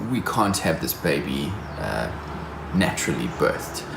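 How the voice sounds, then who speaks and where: Over music in the background and audible room echo, a man speaks at a fairly low pitch with very wide pitch swings. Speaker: vlogger. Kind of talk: vlog.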